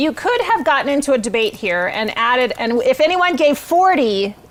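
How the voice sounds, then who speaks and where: The voice is loud, its pitch swinging very widely, with noticeable background noise behind it. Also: woman. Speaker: nonprofit executive director. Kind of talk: live event hosting. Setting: virtual gala livestream.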